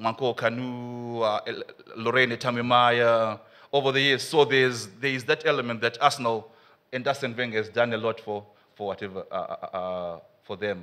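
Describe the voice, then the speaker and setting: The tone is bright and sharp, at a moderate pace. Intonation stays fairly even. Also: man, medium pitch for a man. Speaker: academic researcher on football fandom. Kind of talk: conference presentation. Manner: halting, many fillers.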